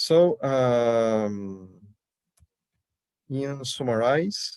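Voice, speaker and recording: Speaking with a Portuguese accent, a man uses a medium pitch and lively intonation. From Brazil. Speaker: immigration lawyer and sociologist presenting research. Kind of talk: academic conference presentation. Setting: video call.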